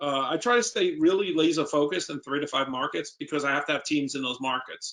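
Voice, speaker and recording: Speaking at a fairly quick pace, a man with a New York accent has a fairly high pitch and ordinary pitch variation. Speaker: real estate investor. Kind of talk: Q&A at a seminar.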